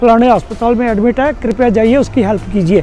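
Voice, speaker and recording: Over music in the background, a man with an extremely high pitch talks at a moderate pace in a fairly even intonation. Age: 70s. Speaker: auto-rickshaw driver and traffic warden. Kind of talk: interview answer.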